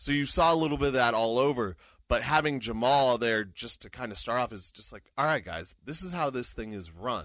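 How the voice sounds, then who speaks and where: Over a quiet background, a man talks at a fairly quick pace with lively intonation and a medium pitch. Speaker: hockey radio voice and podcast co-host. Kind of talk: casual sports chat. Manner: animated.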